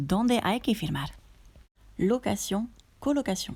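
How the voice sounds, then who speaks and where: With a French accent, a woman speaks at a very slow pace and a fairly high pitch. Her intonation is lively, and the recording is very clean with a silent background. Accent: native French. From France. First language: French (speaking Spanish). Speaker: co-host, native speaker. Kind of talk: reading example sentences aloud.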